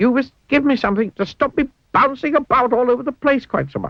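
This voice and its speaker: A squeaky, cartoonish character voice, fairly high in pitch, at a very fast pace. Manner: squeaky, put-upon.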